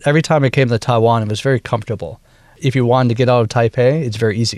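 A man with an American accent speaks at medium pitch. His pace is fairly quick and his intonation fairly even. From US Midwest, Wisconsin. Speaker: bandleader and woodwind musician. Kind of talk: interview. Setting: studio. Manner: halting, many fillers.

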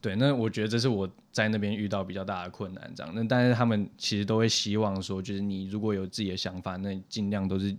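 Talking at a very fast pace with hardly any pauses, a man keeps a fairly low pitch and fairly even intonation. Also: very clean recording, silent background. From Taiwan. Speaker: software engineer. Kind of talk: casual interview.

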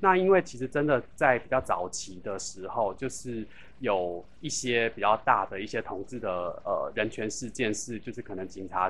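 With an unremarkable speaking voice, a man talks at a moderate pace and medium pitch, showing ordinary pitch variation and big swings in loudness. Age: 40s. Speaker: LGBT hotline organization secretary-general. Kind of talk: interview.

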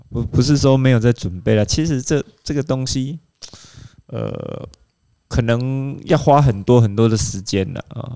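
Here a man speaks at a fairly slow pace. His voice sits at medium pitch with a dark, mellow tone. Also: ordinary pitch variation. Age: middle-aged. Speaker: triathlon coach. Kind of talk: casual chat.

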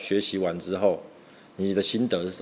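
A man is speaking. His pace is fairly quick. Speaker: podcast host. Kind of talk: casual chat. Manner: fast.

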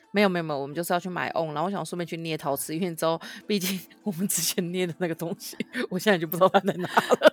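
Over music in the background, a woman with a fairly low pitch speaks very fast with fairly even intonation in a dry, close sound with no echo. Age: 30s. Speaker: podcast co-host. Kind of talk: casual chat.

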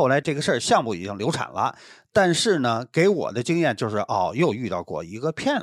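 A man's medium-pitched, fairly quick delivery with vocal fry, very wide pitch swings, big jumps in loudness and hardly any pauses, on a very clean recording with a silent background. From Beijing. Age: 50s. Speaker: podcast guest. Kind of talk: casual chat.

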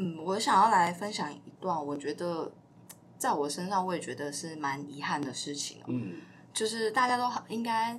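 Amid noticeable background noise and audible room echo, a woman with a fairly low pitch speaks at a moderate pace with very wide pitch swings. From southern Taiwan. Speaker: podcast co-host. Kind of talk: personal storytelling.

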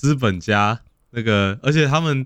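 This is a man speaking. His intonation is lively. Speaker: podcast host. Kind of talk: casual chat. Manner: animated.

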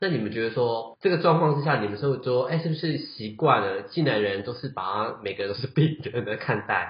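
With hardly any pauses, a man talks at a fairly quick pace in a somewhat breathy, medium-pitched voice with lively intonation. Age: 30s. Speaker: podcast host. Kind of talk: casual chat.

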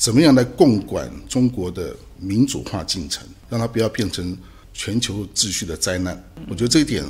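Lively intonation runs through this voice, which has vocal fry and big swings in loudness. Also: man, fairly low pitch for a man, moderate pace. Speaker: political scientist, associate professor and human rights activist. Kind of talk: interview. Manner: halting, many fillers.

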